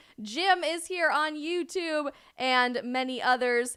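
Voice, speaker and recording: The voice is raised and projected, with an animated, bright, sharp tone and very wide pitch swings, in a very clean recording with a silent background. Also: woman. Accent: American. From Colorado. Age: 20s. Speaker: live streamer and commentator. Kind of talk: live stream chat.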